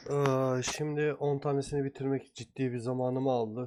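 A man speaks at a medium pitch and a moderate pace. Noticeable background noise sits behind him. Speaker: gaming streamer. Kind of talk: gameplay commentary. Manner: casual.

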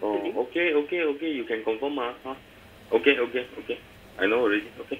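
A man speaks at a very fast pace with ordinary pitch variation while light background noise sits behind him. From Malaysia. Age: old. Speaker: credit card holder complaining. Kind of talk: phone call with bank staff. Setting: phone line. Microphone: phone line.

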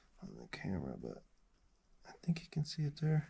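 Noticeable background noise runs under the recording. A man speaks at a moderate pace. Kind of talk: casual vlog chat. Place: tunnel cave.

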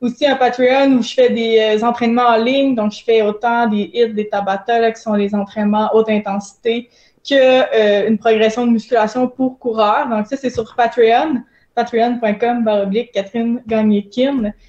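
At a moderate pace, a woman talks with fairly high pitch in a monotone, flat intonation. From Quebec. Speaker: elite runner and kinesiologist; guest. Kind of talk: casual interview. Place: home room.

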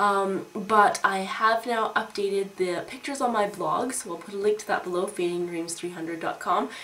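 Medium pitch and a moderate pace from a woman, noticeable background noise in the mix. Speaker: beauty vlogger. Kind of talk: casual vlog haul.

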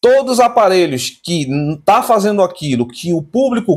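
A man speaks with vocal fry. The background is quiet. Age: 30s. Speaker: tech YouTuber. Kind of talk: casual vlog monologue. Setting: home. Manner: animated. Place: home room. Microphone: phone near.

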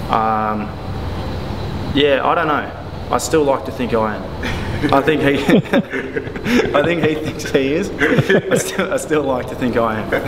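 Amid noticeable background noise, a man talks at a fairly slow pace with ordinary pitch variation and long, frequent pauses. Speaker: interviewee. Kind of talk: interview answer. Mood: relaxed, modest. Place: gym.

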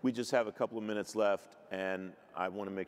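His intonation holds fairly even. This man speaks at a very fast pace. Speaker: broadcast journalist and panel moderator; broadcast journalist, panel moderator. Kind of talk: panel discussion. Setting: stage with audience. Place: stage. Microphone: handheld.

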